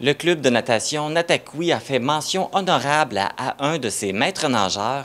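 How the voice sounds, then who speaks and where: A man talks at a fairly slow pace with hardly any pauses. He has an ordinary speaking voice with a fairly high pitch. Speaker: local TV journalist and host. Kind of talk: news report narration.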